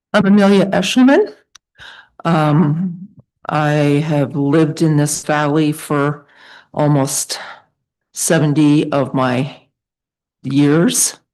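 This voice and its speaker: Speaking at a very slow pace with long, frequent pauses, a woman has a very deep, low pitch and an American accent. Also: ordinary pitch variation, quiet background. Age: 70s. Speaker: public commenter at school board meeting. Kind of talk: public comment. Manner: halting, many fillers.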